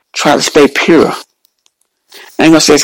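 The speaker is a man. His tone is animated. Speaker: preacher and podcast host. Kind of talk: sermon, preacher in full flow. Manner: fervent, animated, rhythmic, repeating praise phrases and exclamations.

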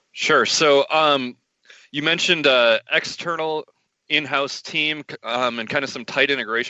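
A man talks with vocal fry at a fairly high pitch. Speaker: podcast host. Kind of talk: casual interview.

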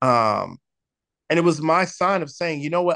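A normal speaking voice with an American accent moves at a moderate pace with ordinary pitch variation. The sound is dry and close with no echo, over a quiet background. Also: man. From San Diego, California. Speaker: worship pastor. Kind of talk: casual chat.

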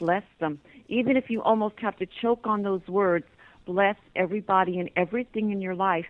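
A woman speaks in a plain, everyday voice with an American accent. Her pitch is medium, with ordinary variation, and her pace is moderate. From Pennsylvania coal region. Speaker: psychic clairvoyant and author. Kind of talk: radio interview.

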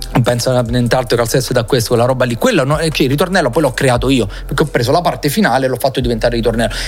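Over music in the background, a man with a medium pitch speaks at a very fast pace, his loudness very even and his pitch variation ordinary. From Salerno, southern Italy. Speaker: DJ and music producer. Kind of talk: casual interview.

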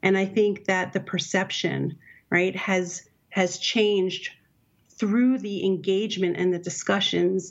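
Using an ordinary speaking voice, a woman with an American accent talks at a fairly slow pace and medium pitch. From Brooklyn, New York. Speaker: product management director. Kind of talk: interview. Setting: remote call from hotel.

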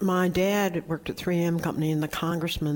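A woman speaks with a Southern US accent. Her intonation stays fairly even. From North Carolina. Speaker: search firm founder and chairman. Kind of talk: interview conversation. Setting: stage with live audience.

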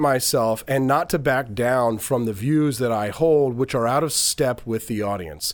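A man with an unremarkable speaking voice, on a very clean recording with a silent background. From Missouri. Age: 40s. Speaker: radio host and former presidential candidate. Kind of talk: casual interview.

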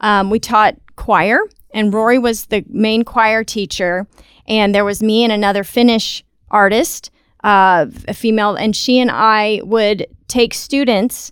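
A woman with an American accent and a fairly high pitch, fairly slow and fairly even in intonation, in a very clean recording with a silent background. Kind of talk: casual interview. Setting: studio.

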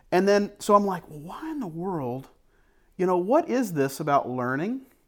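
A man speaks with a high pitch. His pitch swings very widely. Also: very clean recording, silent background. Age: 40s. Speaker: podcast co-founder and media producer. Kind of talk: casual chat. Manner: halting.

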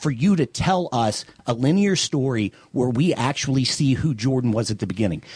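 A man with an American accent speaks at a moderate pace and a medium pitch, somewhat breathy. His intonation is lively, and the sound is dry and close with no echo. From US South, Louisiana. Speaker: film producer. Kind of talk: casual chat.

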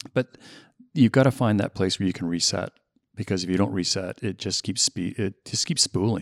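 A man speaks at a moderate pace in an ordinary speaking voice with fairly low pitch and ordinary variation. The sound is dry and close with no echo. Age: 60s. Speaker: real estate executive. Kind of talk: casual chat.

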